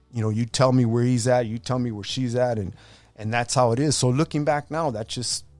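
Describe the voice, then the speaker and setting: A man at a medium pitch with an American accent, fairly even intonation and a fairly quick pace, with music in the background. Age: 60s. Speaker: boxing referee and gang survivor. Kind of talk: testimony. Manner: casual, halting with repetitions.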